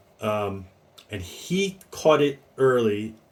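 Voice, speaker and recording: This man's voice sits at a medium pitch, somewhat breathy, with lively intonation. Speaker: fragrance reviewer. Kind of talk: casual review monologue. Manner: hesitant, many fillers.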